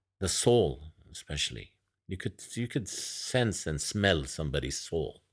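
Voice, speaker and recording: A man speaks fairly slowly in a very deep, low pitch with vocal fry and very wide pitch swings. The recording is very clean, with a silent background. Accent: Arabic. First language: Arabic. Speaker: massage therapist and poet. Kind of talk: casual interview chat.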